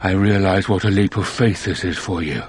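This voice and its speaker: Over clear background noise, a man puts on a character voice with a very deep, low pitch at a fairly slow pace. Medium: video game. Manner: measured, formal, calm.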